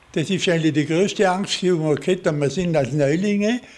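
A man with a Vorarlberg accent, fairly high pitch, ordinary pitch variation and a moderate pace. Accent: Vorarlberg Alemannic German dialect. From Austria, Vorarlberg. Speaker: war veteran. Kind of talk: interview testimony. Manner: halting. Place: home room. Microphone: studio mic.

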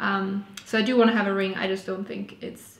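Amid audible room echo, a woman with a German accent speaks in a monotone, flat way. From Austria. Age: 20s. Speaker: vlogger. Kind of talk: casual chat. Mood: relaxed, cheerful. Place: home room.

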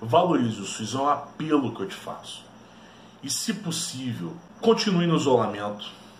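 A man's fairly high voice at a moderate pace, with very wide pitch swings and big swings in loudness, plus audible room echo and light background noise. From Brazil. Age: 30s. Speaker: history teacher and YouTuber; history teacher, YouTuber. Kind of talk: educational video monologue. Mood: earnest, persuasive. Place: home room. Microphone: webcam.

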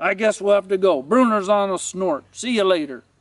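Putting on a character voice, a man speaks with high pitch at a moderate pace. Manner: scolding, exasperated.

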